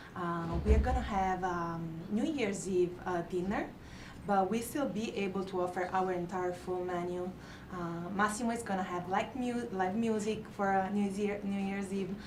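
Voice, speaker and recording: A woman with a strong Italian accent talks amid noticeable background noise and audible room echo. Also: medium pitch for a woman, fairly even intonation, moderate pace. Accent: thick Italian. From Italy. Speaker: restaurant manager. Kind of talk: interview on live show. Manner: hesitant, many fillers.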